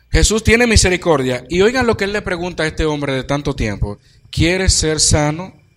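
A man with a high pitch talks at a fairly quick pace, his pitch swinging very widely. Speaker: preacher. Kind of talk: sermon.

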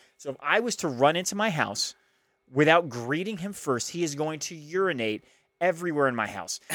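In a very clean recording with a silent background, a man talks at a fairly quick pace, his fairly high pitch moving with lively intonation. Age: 30s. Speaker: podcast co-host. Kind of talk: casual chat.

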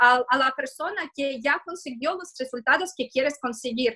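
A woman in a raised, projected voice speaks at a moderate pace with a high pitch, a bright, sharp tone, and ordinary pitch variation. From Russia, Moscow. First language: Russian (speaking Spanish). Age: 30s. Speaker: digital marketing consultant. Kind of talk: interview. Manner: halting.

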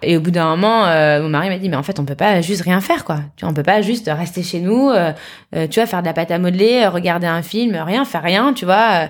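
Over a very clean recording with a silent background, a plain, everyday voice moves at a fairly quick pace with ordinary pitch variation. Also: woman, fairly low pitch for a woman. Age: 30s. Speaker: entrepreneur and mother. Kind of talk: interview.

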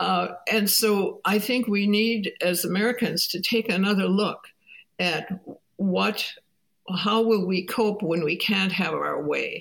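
A woman speaks very slowly in a medium pitch with vocal fry. Her intonation stays fairly even. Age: 80s+. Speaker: professor and family therapist. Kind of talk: interview.

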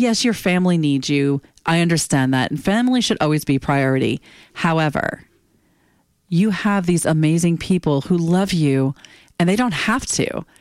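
Speaking at a moderate pace in a normal speaking voice, a woman with a fairly low pitch keeps her loudness very even while her intonation stays lively, on a very clean recording with a silent background. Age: 50s. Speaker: podcast host. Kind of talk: solo monologue.

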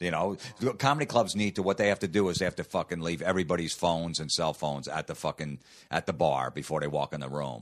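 Talking very fast with an American accent, a man uses a very deep, low voice with vocal fry. His intonation is lively. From New Jersey. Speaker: comedian. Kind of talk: casual chat.

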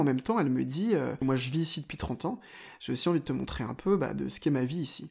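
The speech goes at a fairly quick pace with ordinary pitch variation. The recording is very clean, with a silent background. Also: man. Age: 20s. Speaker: journalist. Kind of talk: personal travel storytelling. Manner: hesitant, with fillers.

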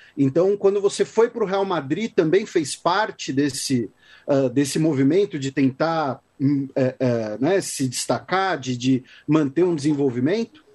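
Lively intonation carries the voice over a quiet background. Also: man, fairly high pitch for a man. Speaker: podcast host, historian. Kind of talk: interview. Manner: halting.

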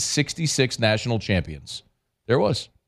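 Against a silent background on a very clean recording, the voice carries vocal fry. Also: man. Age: 40s. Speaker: sports radio host. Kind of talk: casual chat.

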